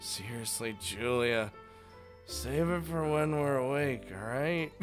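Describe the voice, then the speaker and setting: Over music in the background, a man mumbles in a put-on character voice at a fairly slow pace and medium pitch, with very wide pitch swings. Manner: mumbling.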